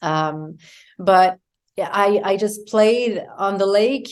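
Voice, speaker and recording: A woman speaks with a French Canadian accent against a quiet background. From Quebec, Canada. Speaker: yoga teacher and wellness coach. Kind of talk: interview conversation. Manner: halting, many fillers.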